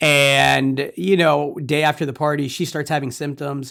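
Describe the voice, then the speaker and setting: The recording is very clean with total background silence as a man talks at an unhurried, moderate pace. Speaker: podcast host. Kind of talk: casual chat. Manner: loud.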